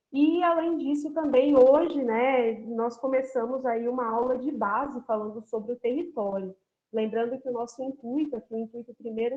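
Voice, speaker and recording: At a moderate pace, a woman talks in a high pitch. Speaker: university geography professor. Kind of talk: online lecture.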